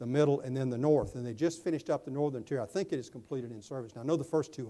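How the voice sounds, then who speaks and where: With an Alabama accent, a man speaks in a fairly high pitch, his tone dark and mellow and his intonation fairly even. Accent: Southern US (Alabama). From Alabama, US South. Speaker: public safety network board official, keynote speaker. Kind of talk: conference keynote and Q&A. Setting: conference luncheon with audience.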